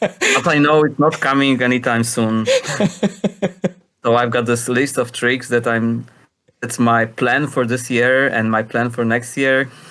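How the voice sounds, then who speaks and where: The voice has a bright, sharp tone and monotone, flat intonation. It moves fairly slowly with long, frequent pauses. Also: man, medium pitch for a man, very even loudness. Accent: Polish. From Poland. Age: 40s. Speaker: freestyle skateboarder, competition judge. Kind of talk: podcast interview answer.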